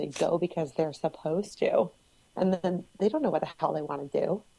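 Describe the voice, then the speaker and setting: In a New England accent, a woman speaks at a moderate pace with a dark, mellow tone. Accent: New England, swallows word endings. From Cape Cod, Massachusetts. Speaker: guest. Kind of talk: casual podcast discussion.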